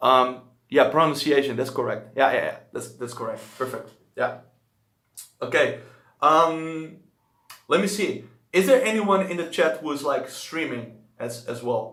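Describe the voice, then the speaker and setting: Bright and sharp in tone, a man with a Dutch accent speaks at a fairly high pitch with lively intonation. He goes at a fairly slow pace with long, frequent pauses, and the room echo is audible. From Netherlands. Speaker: language-learning streamer. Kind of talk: live stream chat. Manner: casual.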